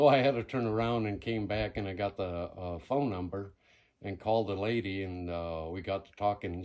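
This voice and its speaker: Speaking in a Spanish accent, a man talks at a fairly quick pace and fairly low pitch against a quiet background. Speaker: ghost town owner and local historian. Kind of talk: interview. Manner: halting.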